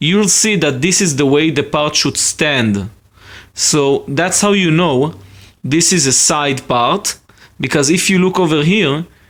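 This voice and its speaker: Speaking in an Israeli accent, a man has a fairly high pitch and lively intonation. His pace is fairly slow and his loudness very even. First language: Hebrew. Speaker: hobbyist video maker. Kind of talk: tutorial. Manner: casual, with hesitations.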